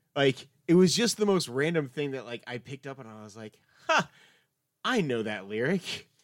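A man with a plain, everyday voice, fairly high-pitched with lively intonation, on a very clean recording with a silent background. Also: moderate pace, big swings in loudness. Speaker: podcast co-host. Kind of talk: casual chat.

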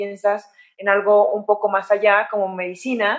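A woman talks at a fairly slow pace in a normal speaking voice with a fairly high pitch. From Mexico, San Luis de la Paz, Guanajuato. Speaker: orthopedic surgeon and athlete. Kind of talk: interview.

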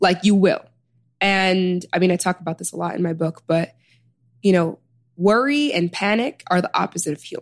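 In an unremarkable speaking voice, a woman with an American accent talks at a moderate pace and medium pitch, with ordinary pitch variation. The sound is dry and close, with no echo. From US Midwest, Chicago South Side. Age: 20s. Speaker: author and healer. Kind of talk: interview conversation.

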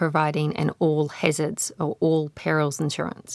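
In a New Zealand accent, a woman speaks at a fairly slow pace, the sound dry and close with no echo. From Waikato, New Zealand. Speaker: independent researcher. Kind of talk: panel discussion.

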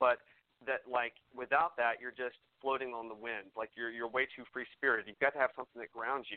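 With an American accent, a man talks at a fairly quick pace and medium pitch in an ordinary speaking voice. His loudness swings widely. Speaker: singer-songwriter. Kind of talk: casual radio interview.

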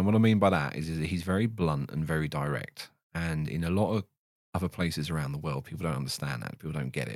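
Over a silent background on a very clean recording, a man with a very deep, low voice speaks at a very fast pace with ordinary pitch variation. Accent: southern English. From England, Stevenage, Hertfordshire. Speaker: ex-F1 systems engineer turned content creator. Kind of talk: casual chat.

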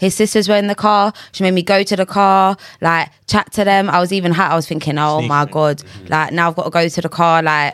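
Fairly low-pitched woman at a fairly quick pace, hardly any pauses and ordinary pitch variation, on a very clean recording with a silent background. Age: 20s. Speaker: podcast guest. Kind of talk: casual chat. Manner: animated.

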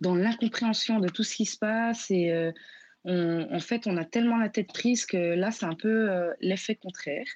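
Against a quiet background, a woman speaks at a fairly slow pace in a normal speaking voice. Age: 20s. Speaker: student sending a voice message. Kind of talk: voice message testimony.

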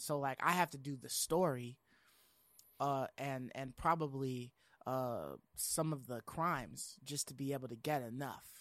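An ordinary speaking voice from a man with an American accent, medium pitch and fairly even intonation, on a very clean recording with a silent background. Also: fairly slow pace. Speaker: gaming podcast host. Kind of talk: casual chat.

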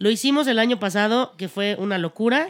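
At a moderate pace, a woman speaks in a plain, everyday voice with medium pitch and ordinary pitch variation. The recording is very clean, with a silent background. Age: 30s. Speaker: actress. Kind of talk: casual chat.

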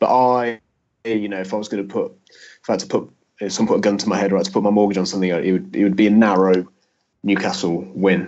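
This man talks at a fairly quick pace, his pitch varying in an ordinary way. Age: 30s. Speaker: sports journalist. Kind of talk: casual chat. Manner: halting.

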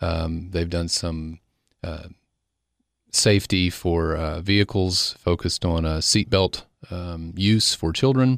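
A man with an Upper Cumberland accent speaks very slowly in a very deep, low pitch with ordinary variation. The recording is very clean, with a silent background. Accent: Southern US, Upper Cumberland. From Cookeville, Tennessee. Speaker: foundation executive director. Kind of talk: interview, informational.

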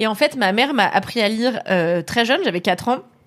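A woman uses a normal speaking voice, keeping a moderate pace and ordinary pitch variation. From France, Paris area (Levallois). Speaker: author and screenwriter. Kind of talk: casual chat. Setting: live stream.

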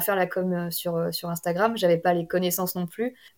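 Against noticeable background noise, a woman speaks at a fairly quick pace in a medium pitch. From Brittany, France. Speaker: novelist. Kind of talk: interview.

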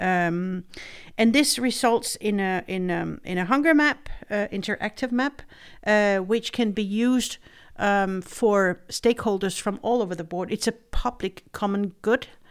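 Speaking with a Danish accent at a fairly slow pace, a woman shows ordinary pitch variation on a very clean recording with a silent background. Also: medium pitch for a woman. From Denmark. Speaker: head of a food aid agency's regional office. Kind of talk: interview podcast. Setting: studio.

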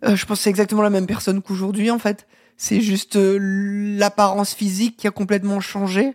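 A woman's breathy, medium-pitched voice at a fairly quick pace, monotone and flat, with very even loudness, a dry, close sound with no echo, and a very clean recording over a silent background. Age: 40s. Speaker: former film journalist. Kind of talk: interview. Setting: host's living room.

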